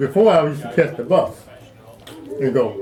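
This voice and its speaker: A man is heard with audible room echo. Noticeable background noise is present too. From Arkansas, US South. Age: 70s. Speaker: retired Marine veteran. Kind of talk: life story interview.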